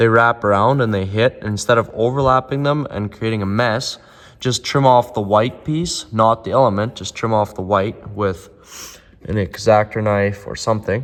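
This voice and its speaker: A man speaks at a moderate pace with fairly even intonation. His pitch sits in the medium range. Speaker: snowmobile hobbyist vlogger. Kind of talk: tutorial. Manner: casual, with filler words.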